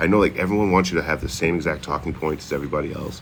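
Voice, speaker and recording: A man with a Boston accent, very deep and low-pitched, talking at a very fast pace in an animated tone with ordinary pitch variation over noticeable background noise. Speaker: livestreamer. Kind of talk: casual livestream chat. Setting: outdoors.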